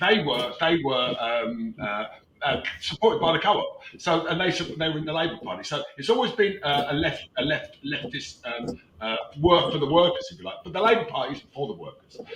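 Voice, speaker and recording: A man with a British accent at a high pitch, fairly quick, with very wide pitch swings, big shifts in loudness and noticeable background noise. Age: 70s. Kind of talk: casual chat. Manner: halting.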